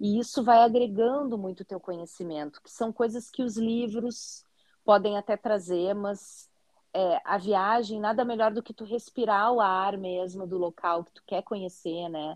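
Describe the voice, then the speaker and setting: A woman speaks at a medium pitch with a southern Brazilian accent and a fairly slow pace. Her pitch varies in an ordinary way, her loudness swings widely, and the sound is dry and close with no echo. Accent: gaúcho Brazilian Portuguese. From southern Brazil, Porto Alegre. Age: 40s. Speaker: teacher and content creator, visually impaired. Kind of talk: interview.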